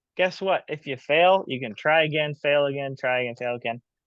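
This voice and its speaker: In an American accent, a man with a fairly high pitch uses an ordinary speaking voice, ordinary pitch variation and a moderate pace. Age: 20s. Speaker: business owner and coach. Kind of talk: casual chat.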